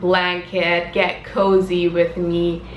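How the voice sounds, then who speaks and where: In a room with audible echo and noticeable background noise, a woman speaks at a medium pitch in a monotone, flat intonation. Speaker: vlogger. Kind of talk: casual vlog monologue. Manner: rambling, hesitant fillers.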